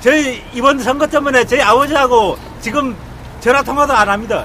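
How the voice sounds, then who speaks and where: Over noticeable background noise, a man uses a raised, projected voice at an extremely high pitch, with ordinary pitch variation and a moderate pace. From Korea, Andong, North Gyeongsang. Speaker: citizen speaker at a rally. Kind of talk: public speech at a rally. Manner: halting.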